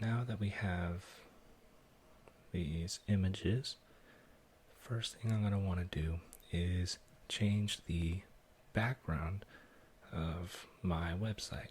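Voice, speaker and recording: Soft-spoken and somewhat breathy, a man with a very deep, low voice speaks in a calm tone at a very slow pace, with fairly even intonation and long, frequent pauses. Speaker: ASMR content creator. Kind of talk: ASMR coding tutorial, soft-spoken narration. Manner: soft-spoken, calm.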